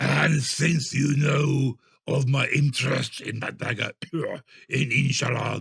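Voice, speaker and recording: A man puts on a growling character voice. It sits at a medium pitch. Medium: read story. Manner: domineering, demanding.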